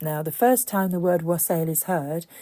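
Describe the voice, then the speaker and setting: A woman's fairly low pitch and dark, mellow tone, in a British accent. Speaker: pagan podcaster. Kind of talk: podcast talk on pagan folklore.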